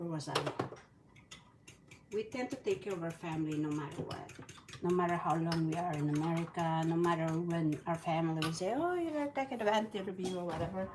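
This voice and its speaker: Over noticeable background noise, a woman with a Filipino accent speaks fairly quickly in a fairly low pitch with ordinary pitch variation. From Philippines. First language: Bisaya. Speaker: vlogger, retired mother. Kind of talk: casual cooking vlog. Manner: chatty, rambling self-corrections.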